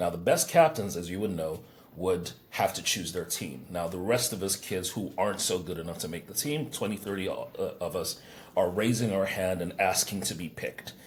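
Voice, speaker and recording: With an American accent, a man with a very deep, low pitch speaks at a moderate pace with ordinary pitch variation. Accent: sophisticated, heard as American. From England. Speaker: business coach. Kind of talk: podcast interview. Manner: hesitant, repeats words.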